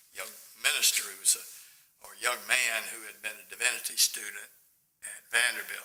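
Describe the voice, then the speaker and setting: With long, frequent pauses and big swings in loudness, a man speaks in a Tennessee accent. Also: moderate pace. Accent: Southern US (Tennessee). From US South, Memphis, Tennessee. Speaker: lawyer. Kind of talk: oral history interview. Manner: halting.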